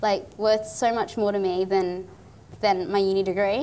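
Here the speaker is a woman. Her words come with an Australian accent. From Far North Queensland, Australia. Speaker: engineer and nonprofit founder. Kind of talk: interview. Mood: cheerful, animated. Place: studio.

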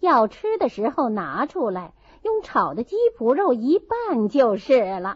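What you hear is an unforced reading voice.

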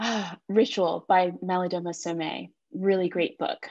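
A woman speaks with an American accent in a fairly low pitch. Her pitch varies normally against a quiet background. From US South. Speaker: reproductive health herbalist; podcast guest. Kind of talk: casual interview. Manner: passionate. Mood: warm, reflective. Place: home room. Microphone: video call.

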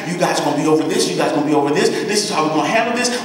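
A man's very fast speech with lively intonation, strong room echo and a quiet background. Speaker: preacher delivering a sermon to a congregation. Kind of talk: impassioned sermon preaching. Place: church.

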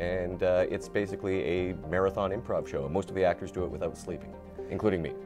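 Over clear background music, a man speaks at a very fast pace in a very deep, low voice with ordinary pitch variation. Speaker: voice actor; improv actor. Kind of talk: interview answer. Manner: casual, humorous. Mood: relaxed, enthusiastic. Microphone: lapel.

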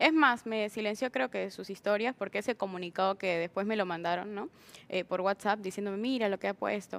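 At a fairly quick pace, a woman of medium pitch uses a normal speaking voice with ordinary pitch variation. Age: 20s. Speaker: hospitality worker; talk show guest. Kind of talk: interview. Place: studio. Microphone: lapel.

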